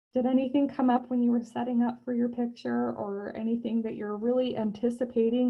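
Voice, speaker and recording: Fairly quick delivery from a woman with a high-pitched voice. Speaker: art teacher. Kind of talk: painting tutorial class. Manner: fast when excited.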